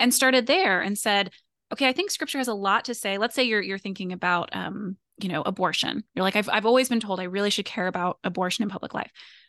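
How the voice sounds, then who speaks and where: A woman's very fast speech in an American accent, bright, sharp tone, quiet background. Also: medium pitch for a woman, ordinary pitch variation. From US (moved often, military family). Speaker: author and doctoral student in political theology. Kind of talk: interview conversation.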